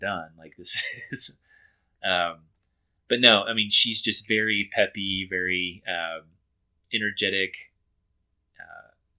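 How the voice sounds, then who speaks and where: In a Texan accent, a man with a fairly low pitch and bright, sharp tone speaks at a very slow pace with long, frequent pauses, fairly even intonation and big swings in loudness on a very clean recording with a silent background. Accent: Texan American English. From Texas. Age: 30s. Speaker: reality TV contestant. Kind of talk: interview. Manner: hesitant, many fillers.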